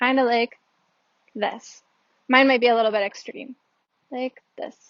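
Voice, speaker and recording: Her pitch is high and her intonation monotone and flat. The woman keeps a moderate pace. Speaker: Japanese language teacher. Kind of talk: language lesson explanation. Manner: casual, hesitant.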